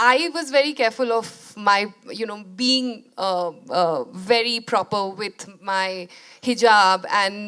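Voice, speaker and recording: The speaker talks with a Bengali accent and ordinary pitch variation. The recording is very clean, with a silent background. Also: woman. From India. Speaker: documentary filmmaker. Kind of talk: interview conversation. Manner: hesitant, many fillers.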